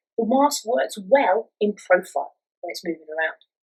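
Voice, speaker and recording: A woman's voice carries vocal fry and very wide pitch swings. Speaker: physical theatre instructor. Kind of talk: acting tutorial talk to camera. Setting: filmed at home.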